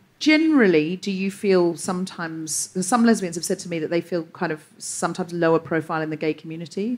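Speaking very fast with hardly any pauses, a woman uses a fairly low pitch and ordinary pitch variation. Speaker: comedian and podcast host. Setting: stage with audience.

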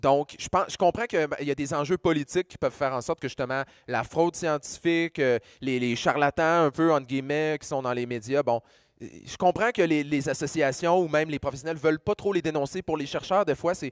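Over a quiet background with a dry sound and no echo, a man talks at a fairly quick pace and fairly high pitch with ordinary pitch variation. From Quebec. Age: 40s. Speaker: pharmacist and science communicator; panelist. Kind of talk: panel discussion. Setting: stage with audience. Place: stage. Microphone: handheld.

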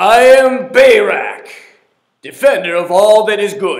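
A man does a put-on character voice at an extremely high pitch, talking fairly slowly. Echo is audible around him. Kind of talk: sermon. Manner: grandly heroic, declaring.

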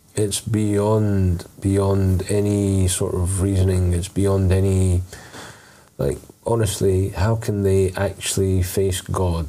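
Slow speech in a dark, mellow tone with little pitch movement comes through with audible room echo. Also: man, low pitch for a man.

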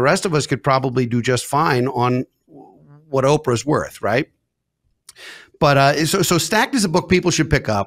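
In a plain, everyday voice, a man with a fairly high pitch talks at a moderate pace with very even loudness and lively intonation against a quiet background. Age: 50s. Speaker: podcast host and financial advisor; podcast host. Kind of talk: casual interview chat. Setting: video recording. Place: studio. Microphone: studio mic.

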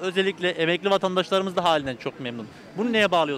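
Light noise sits in the background of this dry recording with no echo. The speech moves at a very fast pace. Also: man. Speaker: street reporter. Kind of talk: street interview. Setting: outdoors. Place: street. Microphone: handheld.

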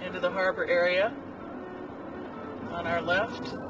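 A man's raised, projected voice at a fairly slow pace, dry with no echo, over noticeable background noise. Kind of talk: casual travel commentary. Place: car. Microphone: camera far.

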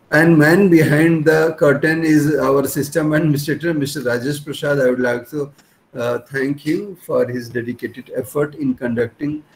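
Faint music plays in the background. A man with a fairly high pitch talks at a moderate pace with fairly even intonation. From India. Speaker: institute principal. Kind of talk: formal vote of thanks. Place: office. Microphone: webcam.

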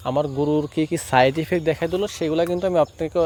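There is noticeable background noise. The intonation is fairly even. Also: man. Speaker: cattle farmer and YouTuber. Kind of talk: vlog tutorial. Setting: at home farm.

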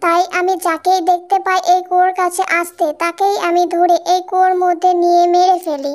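In a cartoonish character voice, a female-sounding speaker talks at a moderate pace with an extremely high pitch and monotone, flat intonation. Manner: grim, resentful.

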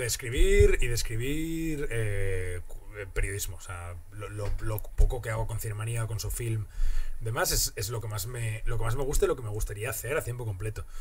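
The man keeps a moderate pace with light background noise behind him. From Asturias, Spain. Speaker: comedian. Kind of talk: casual chat. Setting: studio. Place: studio. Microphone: studio mic.

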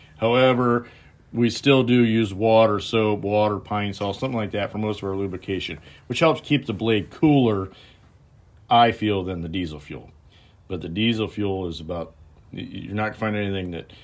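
A man with a normal speaking voice and a fairly low pitch talks at a moderate pace, his loudness swinging widely. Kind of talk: tutorial. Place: workshop.

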